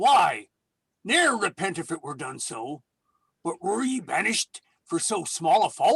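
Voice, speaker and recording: This put-on character voice sits at a middle pitch and moves at a moderate pace, broken by long, frequent pauses. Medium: stage play. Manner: blunt, menacing.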